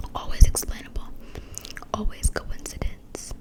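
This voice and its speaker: Whispering at a fairly slow pace, the voice is heard over noticeable background noise. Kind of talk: read-aloud of scary short stories. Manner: whispered.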